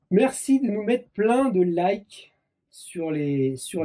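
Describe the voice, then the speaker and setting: A man is talking. There is a somewhat breathy edge to his voice. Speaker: motorcycle mechanics YouTuber. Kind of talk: casual chat. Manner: animated.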